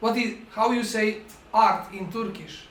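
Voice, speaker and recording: A man with a Montenegrin accent speaks at a high pitch. Noticeable background noise and audible room echo are present. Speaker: film directing professor. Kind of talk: masterclass lecture. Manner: halting.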